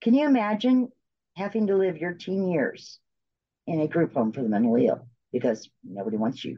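The speaker talks at a fairly quick pace. The pitch swings very widely. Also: woman, fairly low pitch for a woman. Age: 50s. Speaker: bereaved mother and support group founder. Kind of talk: interview testimony. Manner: halting with repeated words.

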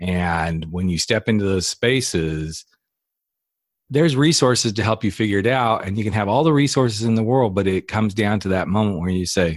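Nothing but a man's voice fills this very clean recording, its background silent. He speaks with a slight Southern US accent. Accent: slight Southern drawl. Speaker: podcast host and coach. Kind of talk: casual interview chat.

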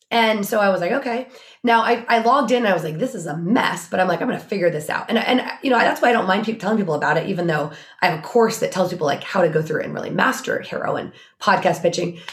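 A woman with an American accent, medium pitch, lively intonation and a very fast pace, over noticeable background noise. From Oregon. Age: 40s. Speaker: business strategist. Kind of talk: casual chat.

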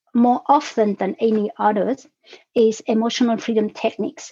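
A woman with a fairly high pitch speaks in a dark, mellow tone and fairly even intonation. The sound is dry and close, with no echo. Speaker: podcast guest, emotional wellness coach. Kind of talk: calm, explanatory. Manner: speaks slowly and deliberately.

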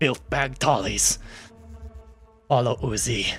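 A man's raspy, whispering put-on character voice over faint background music. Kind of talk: broken, third-person speech. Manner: whispering, serious.

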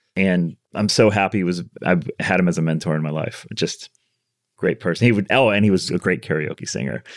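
A man with a very deep, low pitch and vocal fry speaks at a fairly quick pace. His ordinary pitch variation comes through on a very clean recording with a silent background. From US Midwest (Chicago). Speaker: architect. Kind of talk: casual interview.

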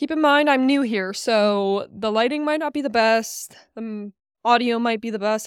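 At a moderate pace with ordinary pitch variation, a plain, everyday voice comes through dry and close with no echo in a very clean recording over a silent background. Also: woman. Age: 20s. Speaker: fitness and nutrition coach, podcast host. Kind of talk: casual solo monologue.

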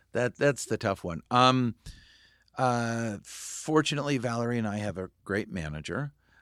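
In an American accent, a man with an ordinary speaking voice, medium pitch and lively intonation talks at a moderate pace in a very clean recording with a silent background and a dry, close sound with no echo. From California, Santa Barbara. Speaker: film director. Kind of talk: casual chat.

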